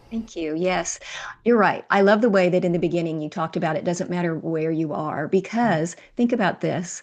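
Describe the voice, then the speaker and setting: At a fairly quick pace, a woman with an ordinary speaking voice talks at a fairly low pitch with ordinary pitch variation. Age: 60s. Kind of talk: interview.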